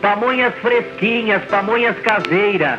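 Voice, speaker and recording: Clear music plays in the background. The speaker uses a raised, projected voice at a fairly slow pace. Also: man. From interior of São Paulo state, Brazil. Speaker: street food vendor. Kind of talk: street vendor loudspeaker announcement. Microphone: old recording.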